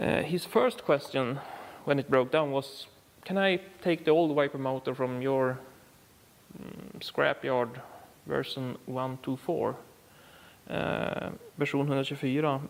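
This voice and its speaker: A man with a Swedish accent, fairly high pitch, fairly even intonation, and long, frequent pauses. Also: fairly slow pace. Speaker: car repair YouTuber. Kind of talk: tutorial. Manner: halting, many fillers.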